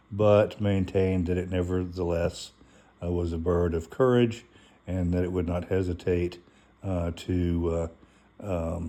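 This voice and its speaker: A man speaks fairly slowly in a very deep, low pitch, his tone dark and mellow and his intonation monotone and flat. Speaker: channel host presenting on a holiday topic. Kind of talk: informal talk reading from a source. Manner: many fillers and hesitations.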